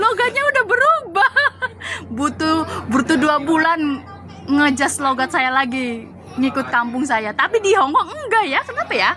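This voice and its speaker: A woman's raised, projected voice, high in pitch with very wide pitch swings, very even loudness and a moderate pace, amid noticeable background noise. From Java, Indonesia. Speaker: migrant domestic worker. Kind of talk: casual chat.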